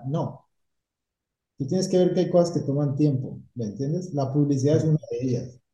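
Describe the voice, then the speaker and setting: A somewhat breathy man's voice, fairly high in pitch, with a dark, mellow tone, ordinary pitch variation and audible room echo. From Colombia, Cali. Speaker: painting company owner. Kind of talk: interview.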